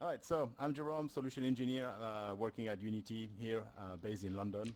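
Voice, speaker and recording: With a French accent, a man talks at a fairly quick pace, his medium pitch showing ordinary variation. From France. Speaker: solution engineer. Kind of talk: tech presentation. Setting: stage with audience. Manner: frequent fillers, hesitant.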